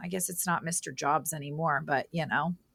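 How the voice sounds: A woman's low voice with vocal fry and a fairly bright tone, fairly even in intonation, at a fairly quick pace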